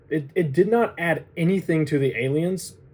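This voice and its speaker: This man has a fairly high pitch. His pitch variation is ordinary. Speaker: movie reviewer YouTuber. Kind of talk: casual monologue review. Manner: loud; rambling, conversational.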